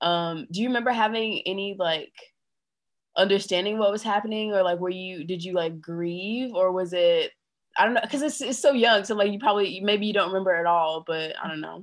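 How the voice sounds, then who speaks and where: This woman has a plain, everyday voice and a medium pitch that varies in an ordinary way. She moves along at a fairly quick pace. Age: 20s. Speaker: podcast co-host. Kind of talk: casual chat.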